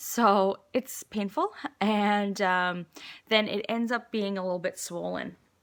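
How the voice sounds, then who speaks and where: A woman talks at a very slow pace and a medium pitch. Her intonation stays fairly even. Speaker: vlogger. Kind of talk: personal video update. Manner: hesitant, many fillers.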